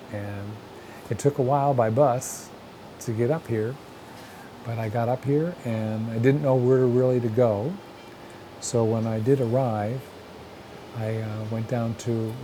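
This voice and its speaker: Against noticeable background noise, a man with an American accent talks at a moderate pace, with medium pitch and fairly even intonation. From northern Pennsylvania (Sayre area). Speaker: folk artist. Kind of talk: documentary interview. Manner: hesitant, conversational.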